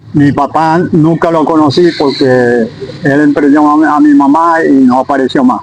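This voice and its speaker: Amid noticeable background noise, a man talks at a moderate pace with very even loudness. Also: fairly high pitch for a man, ordinary pitch variation. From Venezuela, Zulia. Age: 80s+. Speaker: sportsman, interviewee. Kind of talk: interview. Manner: brief answers.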